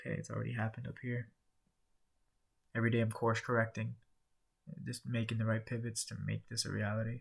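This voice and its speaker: A man talks quietly at a medium pitch and a fairly quick pace. His voice is somewhat breathy, with fairly even intonation. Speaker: vlogger documenting sales career. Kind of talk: casual vlog monologue. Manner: low energy, quiet; halting, many fillers.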